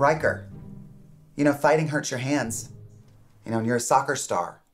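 Faint music sits in the background. A man's voice is heard over it. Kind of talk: scripted comedic dialogue, lecturing. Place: office.

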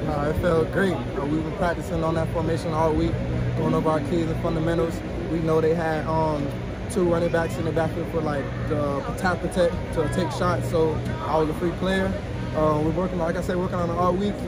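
A man speaks at a fairly quick pace. The sound is dry with no echo, and music plays in the background. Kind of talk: interview answer. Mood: upbeat after a win. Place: stadium.

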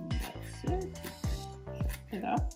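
Clear music plays in the background. Over it, a woman speaks. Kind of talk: cooking tutorial. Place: kitchen. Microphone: phone near.

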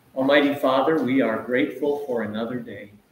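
A man talks at a fairly slow pace. Room echo is audible, along with light background noise. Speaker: event host leading prayer. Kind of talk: prayer. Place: church. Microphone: camera far.

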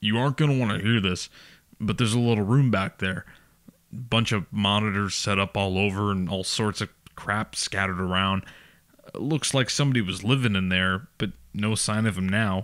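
Using a put-on character voice, a man sounds gruff at a fairly low pitch, with ordinary pitch variation and a moderate pace. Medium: read story. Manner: gruff, laconic, calm, sarcastic; dry, offhand, with a sly insinuating edge.

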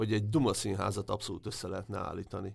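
A man's fairly low voice with vocal fry, on a very clean recording with a silent background. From Hungary, Debrecen. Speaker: sports journalist. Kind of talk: interview.

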